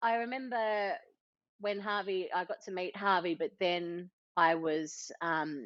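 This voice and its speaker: At a very slow pace, a woman with an Australian accent speaks at medium pitch with ordinary pitch variation. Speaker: entrepreneur and mother. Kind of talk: podcast interview.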